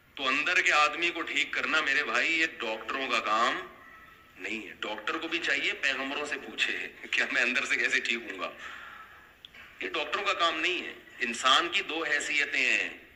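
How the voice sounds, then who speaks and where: Here a man speaks at a fairly high pitch with ordinary variation. Noticeable background noise is present. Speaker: Islamic scholar giving a sermon. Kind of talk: religious sermon (bayan) lecture. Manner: emphatic, preachy, rhetorical questions to the audience.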